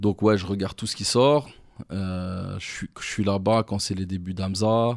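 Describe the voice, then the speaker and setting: In a quiet background, a man with an unremarkable speaking voice talks at a fairly slow pace and fairly low pitch. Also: fairly even intonation. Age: 30s. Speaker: rap manager and former rapper. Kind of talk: casual interview.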